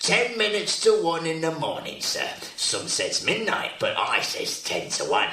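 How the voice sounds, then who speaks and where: A man talks at a moderate pace in a put-on character voice, with a slight echo on the recording. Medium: old radio play. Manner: overfamiliar, chatty, self-promoting.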